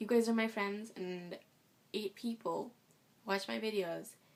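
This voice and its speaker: This woman is soft-spoken, with a fairly high pitch. Her intonation stays fairly even. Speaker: vlogger. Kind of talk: casual vlog. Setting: at home. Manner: fast.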